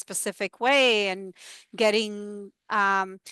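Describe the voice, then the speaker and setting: A woman speaks in a Spanish accent with a bright, sharp tone and fairly even intonation. The sound is dry and close with no echo, over a quiet background. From Dominican Republic. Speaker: university educator and researcher. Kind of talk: talk and Q&A discussion.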